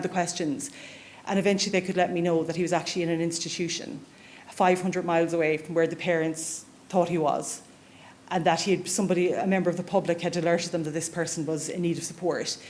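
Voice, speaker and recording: A woman with an Irish accent talks at a very fast pace in a fairly low pitch, with fairly even intonation and audible room echo. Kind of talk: conference talk.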